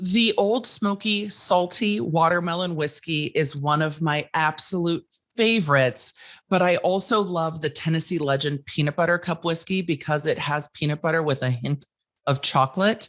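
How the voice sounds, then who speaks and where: Against a quiet background, a woman with a fairly low pitch talks at a moderate pace, with ordinary pitch variation and very even loudness. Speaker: legal commentator and content creator. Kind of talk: casual chat. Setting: podcast interview.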